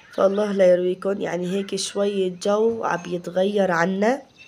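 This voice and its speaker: A woman at a medium pitch and fairly slow pace, with noticeable background noise. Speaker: home cooking vlogger. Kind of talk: casual vlog chat.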